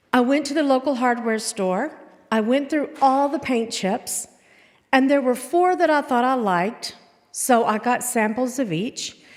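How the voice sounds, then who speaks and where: Pitched high, a woman talks at a fairly slow pace. Her pitch varies in an ordinary way. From Arkansas. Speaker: storyteller. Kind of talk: personal storytelling performance.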